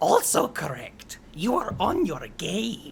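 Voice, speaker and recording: Over clear background noise, someone speaks fairly slowly in a put-on character voice. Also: man, high pitch for a man. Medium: actual play. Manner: chittering.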